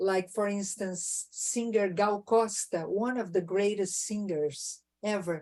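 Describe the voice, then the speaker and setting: A woman with a Portuguese accent speaks very slowly, her medium-pitched voice dark and mellow in tone, with fairly even intonation. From southern Brazil, Rio Grande do Sul. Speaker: jazz singer. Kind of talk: casual chat.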